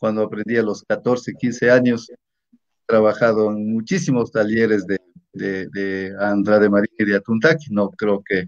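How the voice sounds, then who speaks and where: A man's fairly slow delivery, set against a quiet background. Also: dry sound with no echo. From Ecuador, Imbabura (Natabuela). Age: 50s. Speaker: teacher and local politician. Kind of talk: interview. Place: home room. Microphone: video call.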